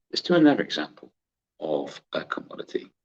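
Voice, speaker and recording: A man is speaking. He has a West Country accent. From West Country, England. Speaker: trading educator. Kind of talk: tutorial. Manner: casual, chatty with laughter.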